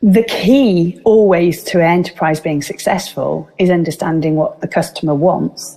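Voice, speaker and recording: With a Welsh accent, a woman speaks in a fairly low pitch over noticeable background noise. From Wales. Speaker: business speaker. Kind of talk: interview. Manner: animated.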